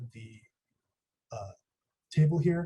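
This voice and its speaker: The voice is quiet and somewhat breathy, with a dark, mellow tone and ordinary pitch variation. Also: man. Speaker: student workshop instructor. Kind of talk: tutorial. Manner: a little quiet. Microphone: quiet microphone.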